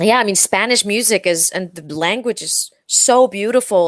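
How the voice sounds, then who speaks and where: The recording is dry and close, without any echo. A woman talks at a medium pitch, varying it in an ordinary way. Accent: Icelandic. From Iceland. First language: Icelandic. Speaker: pop singer. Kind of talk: interview. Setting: audio-only video call. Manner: halting, many fillers.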